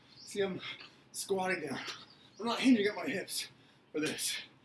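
Male speech at a moderate tempo amid noticeable background noise. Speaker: fitness coach. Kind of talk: workout instruction. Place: garden. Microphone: camera far.

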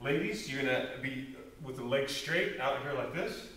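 A man talks rather slowly. The room adds audible echo. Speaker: fitness coach. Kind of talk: workout instruction tutorial. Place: gym. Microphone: camera far.

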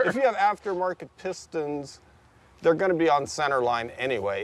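A man at a moderate pace, in a dry sound with no echo. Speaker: car show host. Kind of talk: casual discussion commentary. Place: street.

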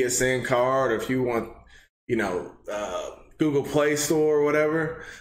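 In an American accent, a man with a fairly high voice talks at a fairly slow pace with ordinary pitch variation, audible room echo around him. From Texas. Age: 20s. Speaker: gaming channel host. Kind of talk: casual talk to camera. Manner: upbeat. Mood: grateful, upbeat. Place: home room.

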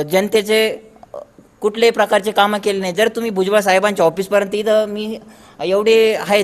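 Through noticeable background noise, a man speaks at a high pitch with monotone, flat intonation. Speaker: local villager. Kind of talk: street interview.

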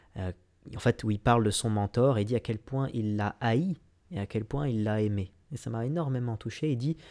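A man speaks with a dark, mellow tone and ordinary pitch variation. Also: quiet background. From France, Lyon suburbs; France. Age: 20s. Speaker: business coach. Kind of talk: vlog monologue. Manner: halting, many fillers. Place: home room. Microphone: studio mic.

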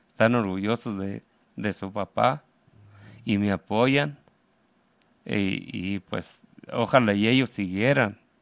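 Very slow speech from a man at a fairly low pitch, with ordinary pitch variation and long, frequent pauses, in a dry, close sound with no echo and a very clean recording over a silent background. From Mexico, Aguascalientes (Calvillo). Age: 50s. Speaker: immigrant construction worker and activist. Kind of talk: radio interview. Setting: radio studio. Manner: halting.

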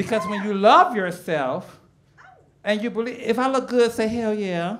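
A woman's fairly high-pitched voice in an American accent, moderate in pace with lively intonation, over light background noise. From Chicago. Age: 40s. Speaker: stand-up comedian. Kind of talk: stand-up comedy set. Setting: comedy club stage. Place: stage. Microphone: handheld.

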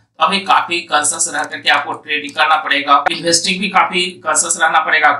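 A man's fairly high voice with a bright, sharp tone, fast pace, fairly even intonation and audible room echo.

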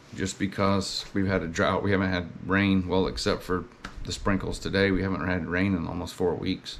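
A man with a Southern US accent talks at a moderate pace in a very deep, low voice. His intonation is flat and monotone, and there is noticeable background noise. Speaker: lawn care business owner and video blogger. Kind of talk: casual vlog monologue.

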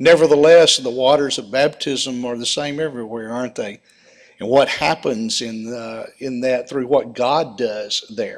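Over a quiet background, a man speaks at a fairly slow pace. His pitch varies an ordinary amount. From United States. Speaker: preacher. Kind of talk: sermon with mission report. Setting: church with slides. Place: church.

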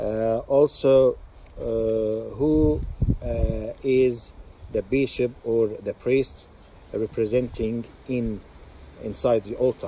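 A man at a very slow pace with long, frequent pauses, a dry sound with no echo and light background noise. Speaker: religious teacher. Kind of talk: religious teaching talk. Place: open country. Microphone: phone near.

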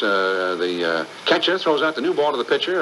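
Noticeable background noise runs behind the speech. A man talks at a moderate pace. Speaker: baseball radio broadcaster. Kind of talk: interview answer, storytelling about radio. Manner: conversational, hesitant with fillers.

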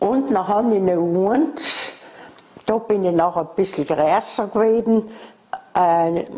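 This woman talks very slowly, with long, frequent pauses, a medium pitch, and lively intonation. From South Tyrol, Italy. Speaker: former factory worker. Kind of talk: oral history interview answer. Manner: hesitant, rambling. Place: home room. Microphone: lapel.

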